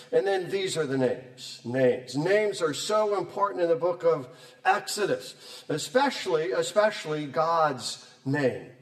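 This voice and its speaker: Lively intonation marks this man's fairly high-pitched voice, heard with audible room echo and noticeable background noise. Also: fairly slow pace. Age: 60s. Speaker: professor. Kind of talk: lecture. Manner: animated.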